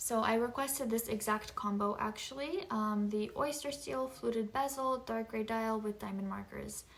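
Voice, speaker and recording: The speech runs at a moderate pace with hardly any pauses and ordinary pitch variation. Noticeable background noise can be heard. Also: woman, fairly high pitch for a woman. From Japan. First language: Japanese. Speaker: lifestyle vlogger. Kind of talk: casual chat.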